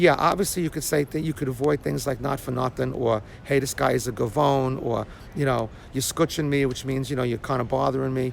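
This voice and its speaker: A man with a Brooklyn accent talks at a fairly quick pace and medium pitch. His intonation is fairly even, with vocal fry. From Brooklyn, New York. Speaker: vlogger. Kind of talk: casual vlog monologue. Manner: conversational, filler-heavy.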